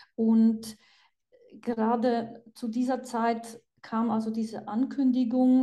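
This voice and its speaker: In a Polish accent, a woman speaks very slowly with a fairly high pitch. Her voice is somewhat breathy, with monotone, flat intonation. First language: Polish (speaking German). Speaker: psychiatrist and author. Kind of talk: interview.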